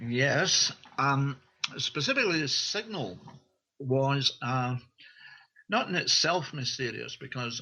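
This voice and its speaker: A man with a Scottish accent, medium pitch, ordinary pitch variation and a fairly slow pace. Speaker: author and researcher. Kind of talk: interview. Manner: halting, with fillers.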